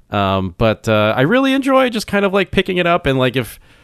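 A man speaks with an American accent. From US, now living in Canada. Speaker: podcast host. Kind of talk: casual banter podcast.

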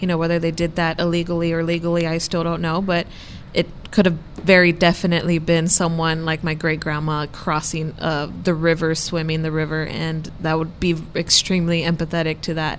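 Noticeable background noise runs under speech that comes at a fairly quick pace with monotone, flat intonation. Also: woman, fairly low pitch for a woman. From Texas border, Brownsville. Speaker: student newspaper columnist. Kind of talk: casual chat.

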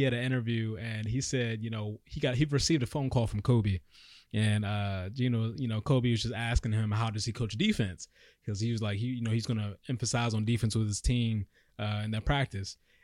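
A man's plain, everyday voice at a medium pitch, with an American accent, a fairly quick pace and fairly even intonation, on a very clean recording with a silent background. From Maryland (DMV area). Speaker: sports podcast co-host. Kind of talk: casual sports chat. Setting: studio.

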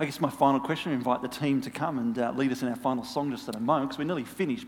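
A fairly high-pitched man with an Australian accent and ordinary pitch variation. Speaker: pastor. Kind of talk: sermon. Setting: church.

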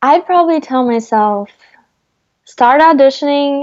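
A woman talks at a fairly slow pace with lively intonation. The background is quiet. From Brazil, Rio de Janeiro. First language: Portuguese. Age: 20s. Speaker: actress. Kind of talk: casual interview.

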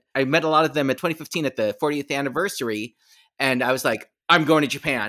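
The man here talks at a fairly quick pace in a bright, sharp tone with ordinary pitch variation, on a very clean recording with a silent background. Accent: American. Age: 50s. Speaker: shadow cast performer. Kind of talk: casual interview.

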